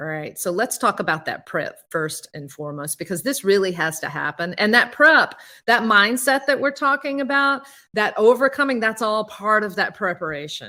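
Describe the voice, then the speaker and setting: A woman in a Southern US accent, moderate pace, very wide pitch swings, on a very clean recording with a silent background. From US South. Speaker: public speaking coach. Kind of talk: workshop presentation. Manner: energetic, repetitive filler (all right).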